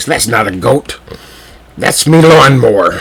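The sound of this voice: A gruff, raspy put-on character voice from a man, fairly high-pitched, at a fairly slow pace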